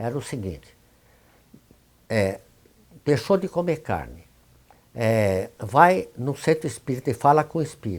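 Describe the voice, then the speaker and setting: Vocal fry marks this man's medium-pitched voice as he talks at a fairly slow pace with very wide pitch swings and long, frequent pauses. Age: 80s+. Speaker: spiritist leader and homeopath. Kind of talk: interview testimony. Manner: halting.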